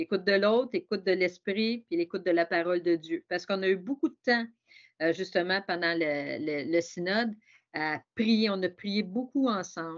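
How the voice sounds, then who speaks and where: In a Quebec accent, a woman speaks at a moderate pace. Her pitch is medium, with ordinary pitch variation. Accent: Québécois French. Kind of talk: webinar talk. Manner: hesitant, with many repetitions.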